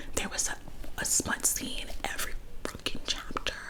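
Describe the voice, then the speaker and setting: Noticeable background noise surrounds a woman who speaks in a whisper. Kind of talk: whispered book review ramble to camera. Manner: whispered, casual, opinionated.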